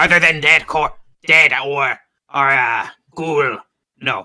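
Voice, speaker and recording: Raspy and low-to-middle in pitch, this is a put-on character voice. It moves at a fairly slow pace. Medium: actual play. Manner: terse, mechanical.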